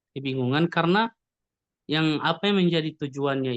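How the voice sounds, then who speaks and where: The speaker has a Gorontalo accent, and the background is quiet. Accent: Gorontalo accent in Indonesian. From Gorontalo, Indonesia. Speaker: webinar participant asking questions. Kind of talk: audience question in webinar. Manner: halting, many fillers.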